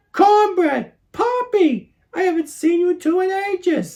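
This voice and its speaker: A put-on character voice, squeaky and extremely high, at a fairly slow pace. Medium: read story.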